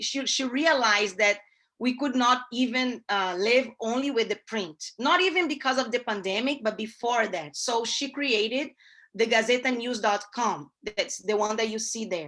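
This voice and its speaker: In a Brazilian Portuguese accent, a woman speaks at a moderate pace and a fairly high pitch, with a bright, sharp tone, ordinary pitch variation and a quiet background. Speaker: newspaper columnist and ad sales; newspaper columnist, ad sales. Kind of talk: guest talk to a class. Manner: halting, many fillers. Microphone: video call.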